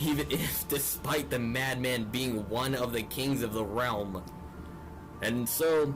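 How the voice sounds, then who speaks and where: A man speaks at a medium pitch with very even loudness and ordinary pitch variation. His pace is very slow, with music playing in the background. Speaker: fantasy storyteller. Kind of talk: epic fantasy story narration.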